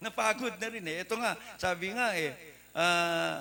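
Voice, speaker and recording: A raised, projected male voice, bright and sharp in tone. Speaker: preacher. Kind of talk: sermon. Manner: loud.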